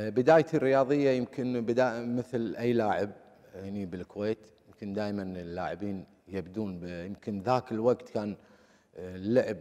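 A man with a Kuwaiti accent speaks in a dark, mellow tone at a fairly low pitch, with ordinary pitch variation and big swings in loudness. His pace is moderate and the background is quiet. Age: 50s. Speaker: former footballer; interview guest. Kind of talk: interview. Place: studio. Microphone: lapel.

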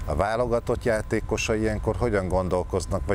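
A man's very fast speech with ordinary pitch variation, a dry sound with no echo, and light background noise. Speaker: TV morning show host. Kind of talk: studio interview discussion. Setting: studio. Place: studio.

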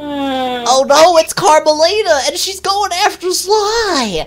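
Someone uses a put-on character voice at an extremely high pitch, speaking at a fairly slow pace. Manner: excited, alarmed.

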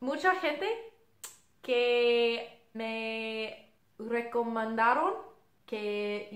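Audible room echo surrounds a woman speaking in an English accent. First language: English (speaking Spanish). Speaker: singer. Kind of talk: casual video intro. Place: home room. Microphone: camera far.

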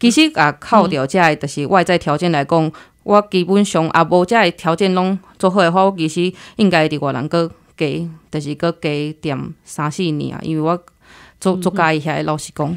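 An ordinary speaking voice moves at a moderate pace with fairly even intonation on a very clean recording with a silent background. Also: woman, fairly low pitch for a woman. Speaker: logistics worker abroad. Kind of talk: interview.

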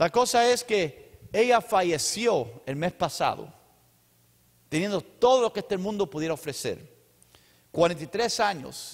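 Against a quiet background, a man with a high pitch talks at a very slow pace, leaving long, frequent pauses. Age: 50s. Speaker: pastor; preacher. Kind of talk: sermon; church announcements. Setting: church. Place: church. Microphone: handheld.

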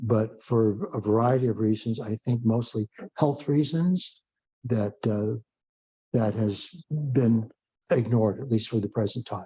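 At a fairly slow pace, a man speaks in a medium-pitched, somewhat breathy voice with a dark, mellow tone and ordinary pitch variation. The sound is dry and close, with no echo. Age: 70s. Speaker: committee chair. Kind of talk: public meeting. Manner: halting, many fillers.

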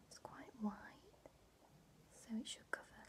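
A soft-spoken woman whispers in a gentle tone. Noticeable background noise can be heard. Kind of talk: soft-spoken roleplay, addressing viewer. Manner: soft ASMR whisper, gentle and slow. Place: home room. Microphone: webcam.

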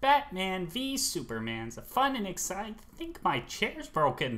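This put-on character voice sits at a middle pitch with very wide pitch swings. The pace is moderate. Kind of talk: comedy film review. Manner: enthusiastic.

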